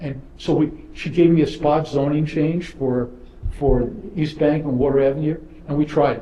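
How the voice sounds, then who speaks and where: Amid audible room echo, a man with fairly high pitch talks at a moderate pace in a monotone, flat intonation. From New York, Brooklyn. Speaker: property developer. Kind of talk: panel discussion. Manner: repetitive stammering starts.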